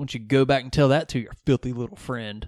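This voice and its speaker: Against a quiet background, a man with a Southern accent talks in a fairly high voice. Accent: Southern, milder than co-host. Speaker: podcast host. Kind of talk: casual chat with movie recap.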